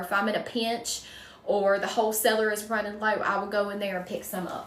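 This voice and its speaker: Audible room echo carries a woman's voice in a strong Southern US accent. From North Carolina, US South. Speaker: wreath maker, crafts livestreamer. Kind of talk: casual livestream chat while crafting, answering viewer comments. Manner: chatty, folksy.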